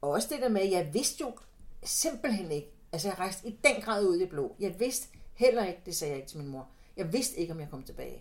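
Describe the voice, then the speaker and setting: Loudness rises and falls sharply while the pitch leaps across a very wide range, delivered at a fairly quick pace. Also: woman, medium pitch for a woman. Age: 60s. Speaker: psychotherapist. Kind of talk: interview. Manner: halting.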